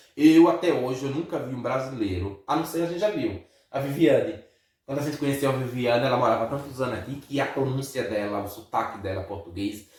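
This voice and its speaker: This man's intonation is lively. He speaks at a very fast pace. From Brazil. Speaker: vlogger. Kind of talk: casual chat.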